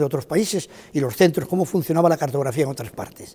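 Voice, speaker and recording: With ordinary variation in his pitch, the man speaks in a high voice. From Spain, Málaga. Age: 80s+. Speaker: retired cartographer, former director of a geographic institute. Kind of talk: interview testimony. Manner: halting, with frequent fillers.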